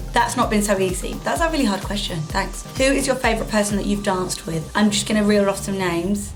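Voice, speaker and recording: A woman with a British accent talks at a very fast pace with hardly any pauses, her medium pitch showing ordinary variation. Music plays in the background. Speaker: dancer and video creator. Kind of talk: casual Q&A chat to camera.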